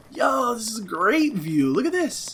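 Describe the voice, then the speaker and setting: Very wide pitch swings from a man, noticeable background noise behind him. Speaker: gaming let's play youtuber. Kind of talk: gameplay commentary. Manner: animated; fast.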